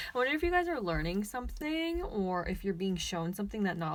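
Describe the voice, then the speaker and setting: Her intonation lively, a woman speaks at a very fast pace. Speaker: tarot reader. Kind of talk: pick-a-card tarot reading. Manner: halting, self-correcting; casual, chatty.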